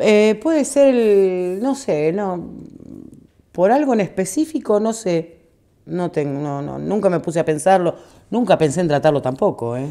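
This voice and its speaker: Her tone is dark and mellow, set at a medium pitch for a woman. The voice moves through very wide pitch swings. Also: fairly slow pace. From Argentina, Buenos Aires province. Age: 50s. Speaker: radio collaborator. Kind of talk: interview.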